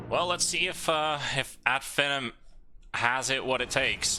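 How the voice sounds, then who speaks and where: With a slight Finnish accent, a man speaks in a bright, sharp tone. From Finland. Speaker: esports commentator. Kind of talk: live commentary.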